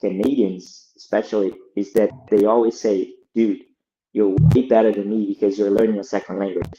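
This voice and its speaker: In a Brazilian Portuguese accent, a man speaks at a moderate pace with a fairly low pitch. His tone is dark and mellow, and his intonation is fairly even. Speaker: lead product designer. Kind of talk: podcast interview.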